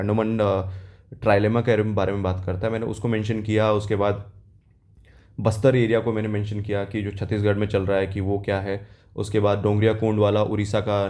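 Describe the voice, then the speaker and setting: In a room with audible echo, a man speaks at a moderate pace with a fairly low pitch, a dark, mellow tone and a monotone, flat intonation. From South India. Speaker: exam aspirant vlogger. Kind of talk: casual vlog, exam experience. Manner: hesitant, with fillers.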